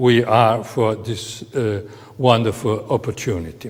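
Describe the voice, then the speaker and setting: Speaking at a fairly slow pace, a man is heard with audible room echo. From Italy. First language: Italian. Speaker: professor. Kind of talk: lecture. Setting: on location in city hall. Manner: halting, many fillers.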